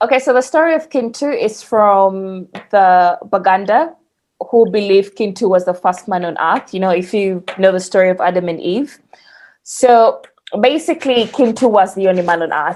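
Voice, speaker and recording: With lively intonation and a medium pitch, a woman talks at a moderate pace. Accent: Ugandan. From Uganda. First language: Luganda. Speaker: podcast guest. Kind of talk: casual storytelling chat.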